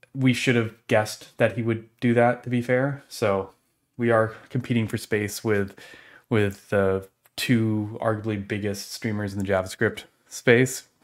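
A man talks at a fairly low pitch and a fairly slow pace. His intonation is fairly even, and the background is quiet. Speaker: stream host. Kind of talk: casual live stream chat. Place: home room.

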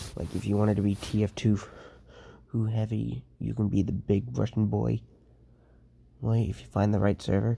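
A quiet man with a fairly low pitch and a dark, mellow tone talks at a moderate pace with ordinary pitch variation and long, frequent pauses. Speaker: gaming youtuber. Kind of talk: casual vlog talk to viewers. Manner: quiet, hushed; hesitant, many fillers.

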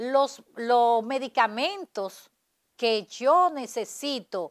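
Against a quiet background, a woman speaks with lively intonation at a high pitch. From Dominican Republic. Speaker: politician and lawyer; interview guest. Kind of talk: interview. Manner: halting, many repetitions. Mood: critical, assertive. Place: studio.

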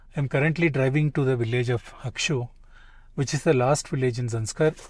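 The voice is somewhat breathy, with ordinary pitch variation and a dry sound with no echo. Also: man. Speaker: travel vlogger. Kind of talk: casual vlog chat. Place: car. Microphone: phone near.

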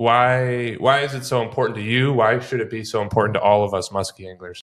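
A man speaks at a fairly quick pace. The background is quiet. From US Midwest. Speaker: podcast host. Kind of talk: casual interview. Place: studio. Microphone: studio mic.

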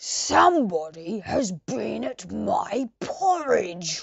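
The speaker uses a gruff, put-on character voice. The pace is very slow. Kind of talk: storybook.

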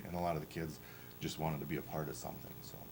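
Noticeable background noise and audible room echo surround a man whose very deep, low voice keeps a fairly even intonation. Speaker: powerlifting club coach. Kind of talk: presentation to school board. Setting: school board meeting. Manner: fast; halting, many fillers.

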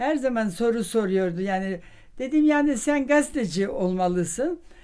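Over a quiet background, a woman with a fairly high, dark and mellow voice talks at a very slow pace, her pitch swinging very widely. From Vienna. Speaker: social scientist and professor. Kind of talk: interview answer. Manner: hesitant, many fillers. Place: home room.

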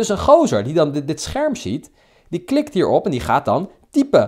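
On a very clean recording with a silent background, a man speaks fairly quickly in an animated tone with lively intonation. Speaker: dating coach vlogger. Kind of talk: angry rant. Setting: screen recording of app. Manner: indignant, sarcastic.

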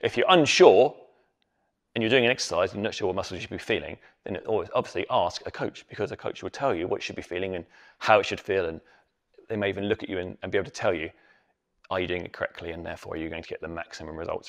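A man's very fast speech over a quiet background. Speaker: fitness coach. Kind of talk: tutorial. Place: gym. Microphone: lapel.

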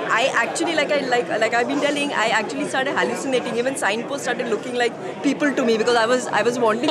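Against crowd noise in the background, a woman talks at a very fast pace with hardly any pauses and ordinary pitch variation. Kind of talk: interview answer. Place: hall. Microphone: lapel.

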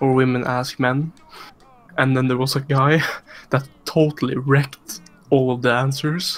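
Pausing long and often, a man talks at a fairly slow pace in a monotone, flat intonation. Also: medium pitch for a man. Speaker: gamer in stream voice chat. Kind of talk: casual chat. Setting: online voice chat.

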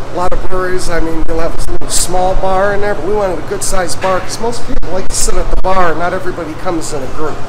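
Ordinary pitch variation at a very fast pace, with noticeable background noise. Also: man. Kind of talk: casual tour talk. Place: factory. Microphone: phone near.

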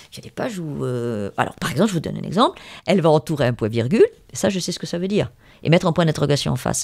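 Talking at a very fast pace, a woman with a very deep, low pitch uses vocal fry, very wide pitch swings and big swings in loudness. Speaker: novelist. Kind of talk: interview. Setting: at her home. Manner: hesitant, many fillers.

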